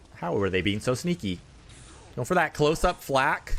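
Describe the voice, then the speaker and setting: A man with an animated tone, medium pitch, vocal fry and a fairly quick pace. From Canada. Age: 30s. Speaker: gaming streamer. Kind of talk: live gameplay commentary.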